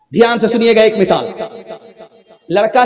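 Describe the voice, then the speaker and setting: A man is talking. Background noise is noticeable throughout. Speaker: Islamic preacher. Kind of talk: religious sermon.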